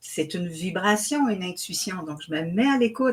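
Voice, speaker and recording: The woman's voice sits at a medium pitch, moving at a moderate pace with ordinary variation in pitch. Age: 60s. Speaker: author and spiritual teacher. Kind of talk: interview. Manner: hesitant, with fillers.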